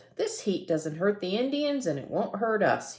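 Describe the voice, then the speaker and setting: Putting on a character voice, a woman speaks with very wide pitch swings. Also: medium pitch for a woman, moderate pace. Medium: read story.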